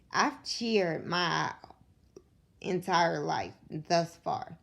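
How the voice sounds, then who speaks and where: A woman speaks quietly at a very slow pace. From Kentucky, Louisville. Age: 20s. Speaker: vlogger sharing illness story. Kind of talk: personal testimony. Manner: quiet, struggles to project.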